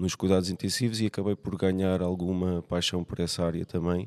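A man with a European Portuguese accent speaks at a very deep, low pitch in a dark, mellow tone. The recording is dry and close, without any echo. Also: very clean recording, silent background. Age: 40s. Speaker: nurse. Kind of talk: casual chat. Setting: gym.

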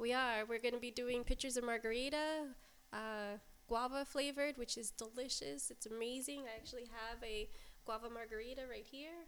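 A woman with an American accent, high-pitched and fairly quick, over noticeable background noise. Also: fairly even intonation. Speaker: restaurant manager. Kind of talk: casual chat.

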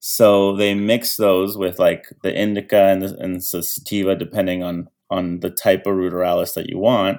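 Speaking with a Canadian accent, a man talks at a moderate pace in a fairly low, monotone, flat voice with hardly any pauses, on a very clean recording with a silent background. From Canada, Toronto. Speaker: cannabis bonsai grower and youth sports coach. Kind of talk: casual chat.

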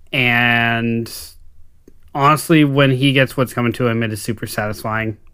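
Here is a man with a normal speaking voice and medium pitch. He keeps a moderate pace and fairly even intonation. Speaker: podcast co-host. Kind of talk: casual chat.

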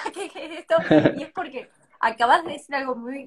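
A woman speaks in a high pitch with a bright, sharp tone and ordinary pitch variation. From Tucumán, Argentina. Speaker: poet and creative writing teacher. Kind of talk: casual interview chat. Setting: Instagram live stream.

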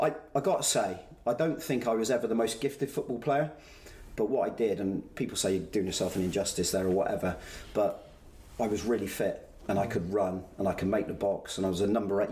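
A man with a West Country accent speaks at a very fast pace and a fairly low pitch, his voice dark, mellow, and somewhat breathy with ordinary pitch variation. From Somerset, England (Bristol area). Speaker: former footballer and football manager. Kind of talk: casual interview.

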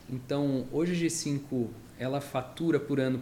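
A plain, everyday voice from a man, medium in pitch with fairly even intonation. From Brazil, São Paulo. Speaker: construction company founder. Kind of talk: interview.

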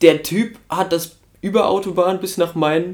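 High male voice with fairly even intonation. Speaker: podcast co-host. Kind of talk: casual banter podcast.

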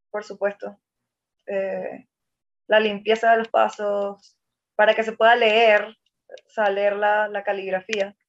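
Her voice fairly high, this woman takes a fairly slow pace. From Venezuela, Maracaibo (Zulia). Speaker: ballet dancer. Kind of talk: interview conversation.

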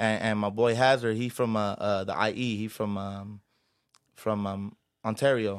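A fairly low-pitched man with an American accent speaks at a moderate pace in a monotone, flat intonation on a very clean recording with a silent background. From South Central Los Angeles. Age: 20s. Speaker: rapper. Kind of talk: casual chat. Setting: studio.

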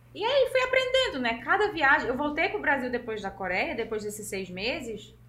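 With very wide pitch swings, the speaker moves at a moderate pace in a room with audible echo. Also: woman. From Pernambuco interior, Brazil (Serra Talhada). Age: 30s. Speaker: fashion model. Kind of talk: interview.

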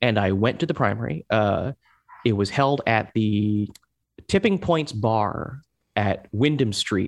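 Speaking with an American accent, a man goes at a fairly slow pace with ordinary pitch variation. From Hong Kong (American expatriate family). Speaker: political volunteer organizer. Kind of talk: interview. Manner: halting, with many fillers and repetitions.

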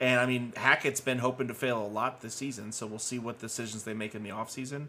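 On a very clean recording with a silent background, a man with a bright, sharp tone and vocal fry talks at a fairly quick pace and medium pitch, his intonation fairly even. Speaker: sports podcast co-host. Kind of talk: casual banter, football review.

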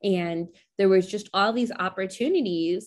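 Ordinary pitch variation marks a woman's unremarkable speaking voice, medium in pitch and moderate in pace, with an American accent. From US. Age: 20s. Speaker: podcast host. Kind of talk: casual interview chat.

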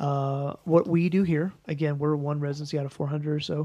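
The speaker has a Midwestern American accent and talks at a moderate pace. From US Midwest, St. Louis. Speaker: family medicine residency program director. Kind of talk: interview conversation.

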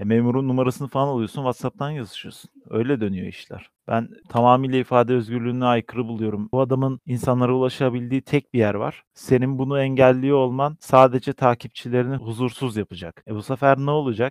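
With an unremarkable speaking voice, a man at medium pitch talks at a fairly quick pace with hardly any pauses and fairly even intonation, in a dry, close sound with no echo. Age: 20s. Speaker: podcast co-host. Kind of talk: casual chat.

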